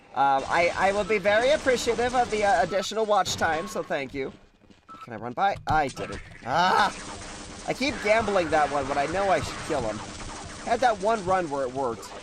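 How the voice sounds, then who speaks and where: Noticeable background noise surrounds a man's high-pitched, animated voice. His pitch swings very widely. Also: moderate pace. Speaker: video game streamer. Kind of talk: live gameplay commentary. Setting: live stream.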